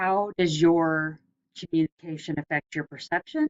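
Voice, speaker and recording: A woman speaks in a Southern US accent. Her pitch is very deep and low. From US South. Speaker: lecturer. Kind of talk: lecture. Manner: casual, hesitant with fillers.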